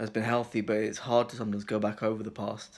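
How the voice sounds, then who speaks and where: A man's monotone, flat intonation at a fairly quick pace. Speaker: video blogger. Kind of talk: personal reflection monologue. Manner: fast.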